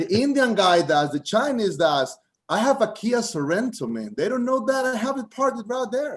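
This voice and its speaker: The speaker has a Costa Rican accent and a moderate pace. Their pitch swings very widely. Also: man, extremely high pitch for a man. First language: Spanish. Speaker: comedian. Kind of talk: stand-up. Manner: halting.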